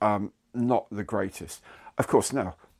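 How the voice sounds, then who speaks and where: This man has a British accent. He talks at a fairly low pitch. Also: very clean recording, silent background. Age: 60s. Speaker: YouTuber. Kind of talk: casual monologue to camera. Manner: conversational, with hesitations.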